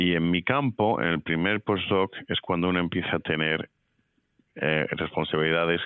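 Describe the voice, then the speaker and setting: A man with a Madrid accent speaks at a very deep, low pitch and a fairly slow pace, keeping his loudness very even through long, frequent pauses. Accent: Castilian Spanish (Madrid). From Madrid, Spain. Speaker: physics professor. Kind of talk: interview. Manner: halting, with fillers.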